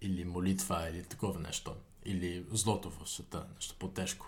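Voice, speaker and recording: A man speaks in a somewhat breathy voice at a very deep, low pitch. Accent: Dutch. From Netherlands, Utrecht. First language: Dutch (speaking Bulgarian). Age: 20s. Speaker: university student. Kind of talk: interview. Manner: halting.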